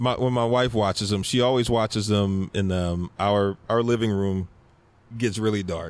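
With an American accent, a man speaks at a moderate pace. His loudness stays very even and his intonation fairly even. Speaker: podcaster and rapper. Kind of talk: casual chat. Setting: in person, same room.

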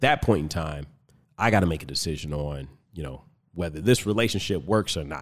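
With an American accent, a man talks at a fairly quick pace in a very deep, low voice, with vocal fry and big swings in loudness. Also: lively intonation. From Compton, California. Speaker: fitness coach and podcaster. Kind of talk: casual interview. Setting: studio, in person.

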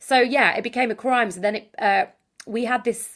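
With a Yorkshire accent, a woman speaks at a very fast pace on a very clean recording with a silent background. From Yorkshire, northern England. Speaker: author and dating consultant. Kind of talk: podcast interview.

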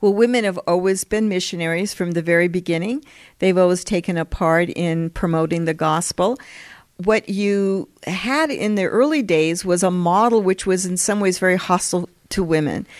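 In a very clean recording with a silent background, a woman with an ordinary speaking voice and an American accent speaks at a moderate pace, medium in pitch with ordinary variation. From US West (Colorado, California). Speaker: historian, professor. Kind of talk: interview.

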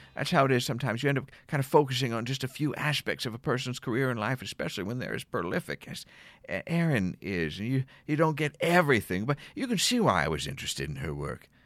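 Speaking very fast with an American accent, a man of medium pitch uses lively intonation and vocal fry in a very clean recording with a silent background. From Philadelphia suburbs. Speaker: podcast host. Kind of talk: casual interview chat.

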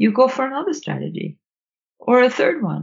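A woman speaks with a Swedish accent. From Sweden. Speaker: author and nonviolent communication trainer. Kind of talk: casual interview conversation. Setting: remote call.

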